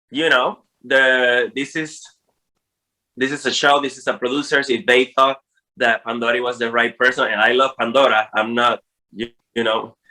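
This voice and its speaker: A man with a non-native accent speaks at a moderate pace and medium pitch, his tone bright and sharp, with long, frequent pauses. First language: Spanish. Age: 40s. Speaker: drag queen. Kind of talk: interview. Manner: animated.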